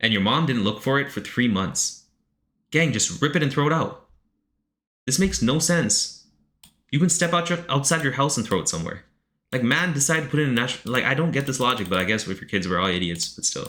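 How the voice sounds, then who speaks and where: Recorded very cleanly against a silent background, a man talks at a fairly quick pace with long, frequent pauses. His bright, sharp voice has vocal fry and very wide pitch swings. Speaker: streamer reading chat submissions. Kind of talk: live stream reaction. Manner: fast; animated.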